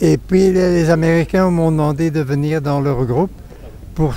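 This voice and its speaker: Music plays behind a man whose pitch moves in an ordinary way. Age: 80s+. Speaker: war veteran. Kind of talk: interview testimony. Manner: halting.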